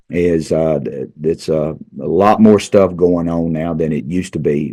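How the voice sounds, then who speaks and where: Speaking with an Arkansas accent, a man uses a very deep, low pitch and fairly even intonation. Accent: Southern US (Arkansas). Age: 60s. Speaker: high school football coach. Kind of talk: casual interview. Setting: studio. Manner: halting, repeats words.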